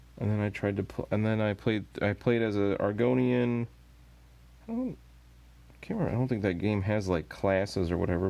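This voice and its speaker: The tone is dark, mellow and relaxed. Delivery comes at a fairly quick pace with ordinary pitch variation. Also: man. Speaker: miniature painting streamer. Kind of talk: casual live stream chat while painting. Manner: relaxed, meandering.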